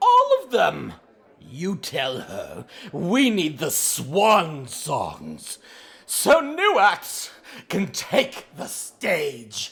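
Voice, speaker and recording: A theatrical, put-on character voice at a middle pitch, delivered at a very slow pace. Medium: audio drama. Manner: haughty, theatrical, condescending.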